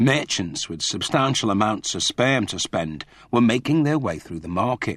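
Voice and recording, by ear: With lively intonation, a person reads aloud in a natural voice.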